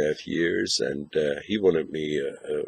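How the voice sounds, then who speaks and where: Keeping a moderate pace, a man talks with a German accent. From northern Germany. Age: 60s. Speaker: pipe smoking video blogger. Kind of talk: casual video review. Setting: outdoors. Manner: halting.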